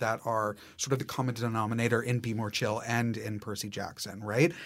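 A normal speaking voice with an American accent, at a fairly quick pace. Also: man. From Massachusetts, US. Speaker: theater director. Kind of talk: casual interview.

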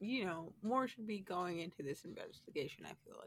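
With an American accent, a woman speaks at a moderate pace using lively intonation. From United States. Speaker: podcast co-host. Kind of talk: casual chat. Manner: animated.

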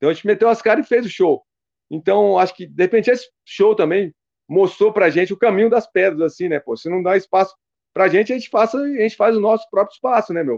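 A man with a high voice speaks very fast in a dry, close recording with no echo. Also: ordinary pitch variation. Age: 50s. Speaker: metal band founder. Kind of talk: casual interview.

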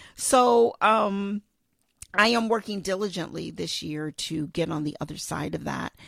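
On a very clean recording with a silent background, a woman talks at a fairly slow pace in a medium pitch, showing vocal fry and ordinary pitch variation. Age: 50s. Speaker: podcast host. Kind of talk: solo podcast monologue. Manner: casual with frequent fillers.

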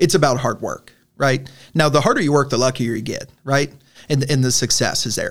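Using a plain, everyday voice, a man with a fairly high pitch talks at a fairly quick pace with ordinary pitch variation. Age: 30s. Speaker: college football head coach. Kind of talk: casual interview.

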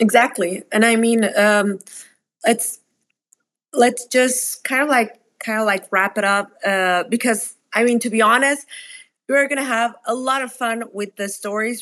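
A Spanish accent at a fairly slow pace, on a very clean recording with a silent background. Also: woman. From Mexico. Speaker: startup founder. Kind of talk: casual interview conversation.

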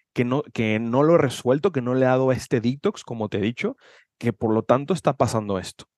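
This clip has an unremarkable speaking voice at a fairly quick pace. The background is quiet, and the sound is dry and close with no echo. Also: man. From Mexico, Guadalajara, Jalisco. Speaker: personal development coach. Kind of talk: casual chat.

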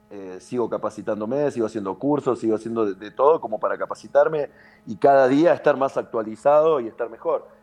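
Music plays in the background as a man talks at a fairly quick pace. His pitch is medium with ordinary variation. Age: 30s. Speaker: padel coach. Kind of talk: casual interview.

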